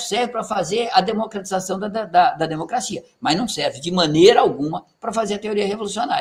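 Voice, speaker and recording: A man speaks at a fairly quick pace with lively intonation. His pitch is high for a man. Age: 60s. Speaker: retired university professor and author. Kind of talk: lecture. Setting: reading group session. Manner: animated, emphatic with frequent tag questions.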